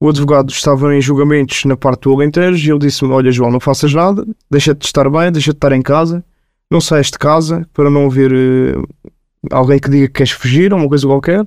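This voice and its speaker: Here a man talks at a very fast pace. His pitch is fairly high and his intonation fairly even. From Portugal, Lisbon (Marvila). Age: 20s. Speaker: prison inmate. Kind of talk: testimony. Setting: studio.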